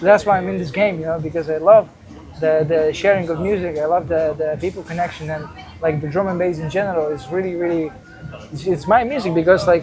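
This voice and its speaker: The speaking goes at a fairly quick pace. Behind it, music is playing. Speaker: podcast host and DJ. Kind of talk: casual interview chat.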